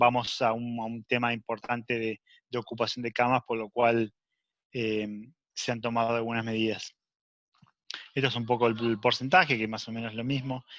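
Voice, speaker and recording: Against a quiet background, a man talks at a medium pitch in a flat monotone, taking long, frequent pauses, with a dry, close sound and no echo. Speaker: emergency physician. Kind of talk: lecture. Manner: fast; halting.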